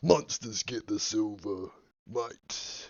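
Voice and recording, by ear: A man puts on a character voice. It sits at a medium pitch.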